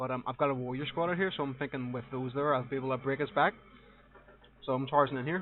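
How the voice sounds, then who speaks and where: Someone speaks at a very fast pace with a strong Northern Irish accent and fairly even intonation. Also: man, medium pitch for a man. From Northern Ireland. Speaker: gaming commentator. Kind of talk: live gameplay commentary. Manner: casual, hesitant with fillers.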